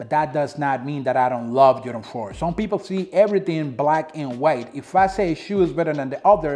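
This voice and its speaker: A man with a Dominican accent talks at a fairly quick pace. His tone is dark and mellow, with lively intonation. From Dominican Republic. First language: Spanish. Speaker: sneaker reviewer. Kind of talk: product review vlog. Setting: home apartment. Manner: casual, conversational.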